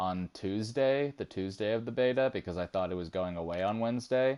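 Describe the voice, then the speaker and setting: He has a plain, everyday voice, fairly low in pitch with ordinary pitch variation. The man keeps a moderate pace over a quiet background. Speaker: video game streamer. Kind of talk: casual chat.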